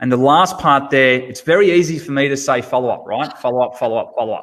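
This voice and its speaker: A man's fairly high-pitched, unremarkable speaking voice with ordinary pitch variation. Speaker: automotive sales trainer. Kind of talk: webinar presentation.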